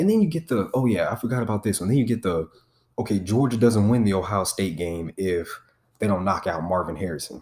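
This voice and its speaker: Lively intonation and an animated tone mark this man's fairly low voice as he talks at a fairly quick pace in an American accent. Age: 20s. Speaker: podcast host, sports commentator. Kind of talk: angry rant, casual sports talk. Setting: studio, solo podcast. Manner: loud, heated, profane, animated.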